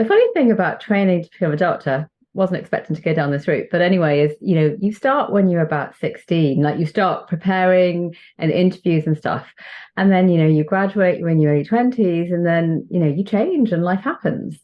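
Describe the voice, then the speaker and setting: A woman with a British accent, fairly low in pitch, at a fairly quick pace, with very even loudness and ordinary pitch variation. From northern England, Chester. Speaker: doctor, children's author and spiritual coach. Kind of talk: podcast interview.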